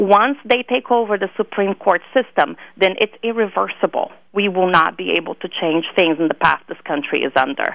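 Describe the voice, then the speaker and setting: A woman with a Brazilian accent talks at a moderate pace, her lively intonation touched with vocal fry. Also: medium pitch for a woman. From Brazil (Rio de Janeiro). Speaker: political activist. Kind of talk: interview. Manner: repetitive false starts.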